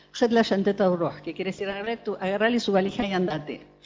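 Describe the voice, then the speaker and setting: Very fast speech from a woman with music in the background. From Argentina, born in Beirut. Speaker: psychoanalyst attendee. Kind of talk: panel discussion testimony. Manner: hesitant, many fillers.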